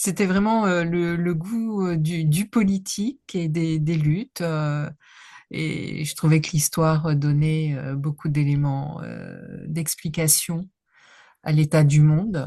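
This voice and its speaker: A woman speaks at a very slow pace in a very deep, low voice with a dark, mellow tone. Her pitch varies in an ordinary way, and the background is quiet. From northern France (Nord). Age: 60s. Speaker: history professor. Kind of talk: interview. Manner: halting, many hesitations.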